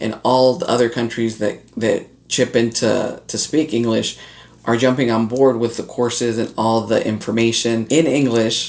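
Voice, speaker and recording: A man's medium-pitched voice at a fairly quick pace, fairly even in intonation. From North Florida, Latin heritage. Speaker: online business coach. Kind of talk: casual talk to camera.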